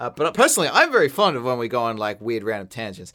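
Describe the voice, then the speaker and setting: Someone with an Australian accent talks at a very fast pace in a very clean recording with a silent background. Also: man. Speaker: animator, podcast co-host. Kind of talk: casual chat.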